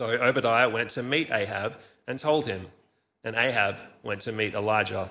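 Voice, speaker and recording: A man's unremarkable speaking voice at medium pitch and a moderate pace. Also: ordinary pitch variation. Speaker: church service leader. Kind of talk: scripture reading in church service. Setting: church.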